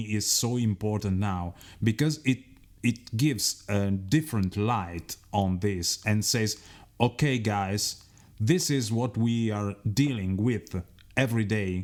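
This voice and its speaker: In an Italian accent, a man speaks slowly-ish, at a fairly slow pace with a fairly low pitch and ordinary pitch variation. The recording is very clean, with a silent background. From Italy. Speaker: radio host. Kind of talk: radio interview.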